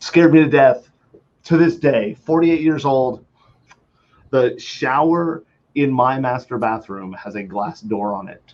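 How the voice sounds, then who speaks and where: An unremarkable speaking voice with lively intonation. The pace is fairly slow. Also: man. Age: 40s. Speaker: security webcast host. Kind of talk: casual chat.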